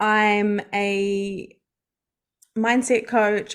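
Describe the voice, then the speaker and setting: A woman with a New Zealand accent, medium in pitch, with fairly even intonation. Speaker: mindset coach and hypnotherapist. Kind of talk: podcast interview.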